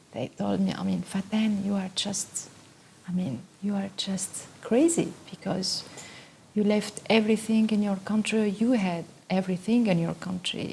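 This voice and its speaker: A woman keeps a moderate pace while noticeable background noise is heard throughout. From Tunisia. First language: Arabic or French. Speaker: photographer and artist. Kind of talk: interview monologue. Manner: halting, many fillers.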